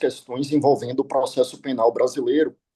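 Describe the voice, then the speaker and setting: A man's voice, dark and mellow in tone. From Brazil. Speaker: law professor. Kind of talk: conference talk. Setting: video call. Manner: formal.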